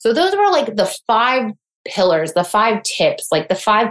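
A woman with a normal speaking voice talks at a moderate pace in a fairly high pitch. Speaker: mindset coach. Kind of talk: interview conversation.

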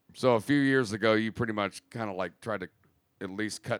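A man's fairly low, a normal speaking voice at a moderate pace with fairly even intonation, dry and close with no echo, on a very clean recording with a silent background. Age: 20s. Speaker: podcast host. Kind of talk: casual chat. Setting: home studio.

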